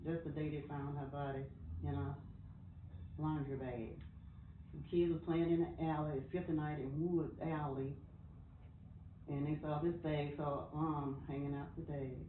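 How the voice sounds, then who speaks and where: In an American accent, a woman with a very deep, low pitch speaks at a moderate pace with monotone, flat intonation and long, frequent pauses, in audible room echo. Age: 80s+. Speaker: interviewee in documentary. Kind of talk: personal testimony. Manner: halting.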